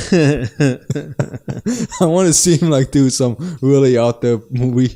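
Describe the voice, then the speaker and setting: At a very slow pace, a man speaks at a medium pitch with ordinary pitch variation and very even loudness. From Germany. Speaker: podcast co-host. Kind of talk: casual chat. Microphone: new mic stands setup.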